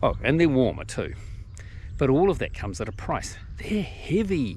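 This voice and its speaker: Speaking with a New Zealand accent, a man keeps a moderate pace amid audible room echo. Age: 60s. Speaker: hiking vlogger. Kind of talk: tutorial. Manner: casual, conversational.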